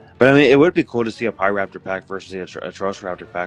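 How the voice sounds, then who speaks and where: Over music in the background, a man with a fairly low voice talks at a very fast pace, the sound dry and close with no echo. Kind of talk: casual podcast discussion.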